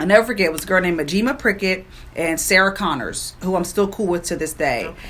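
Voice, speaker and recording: Noticeable background noise under a fairly quick woman's voice with an American accent. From Prince George's County, Maryland, US. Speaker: radio personality. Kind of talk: interview, personal story.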